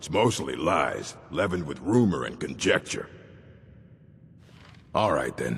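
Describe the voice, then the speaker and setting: Using a put-on character voice, the speaker moves at a moderate pace with long, frequent pauses. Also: man, very deep, low pitch for a man. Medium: video game. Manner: curt, stern, dry.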